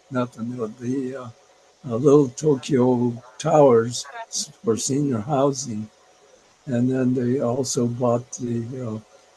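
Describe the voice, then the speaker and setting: Over noticeable background noise, a man speaks very slowly at a medium pitch in a monotone, flat intonation, with long, frequent pauses. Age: 80s+. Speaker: retired urban planner. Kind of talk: interview answer. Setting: video call.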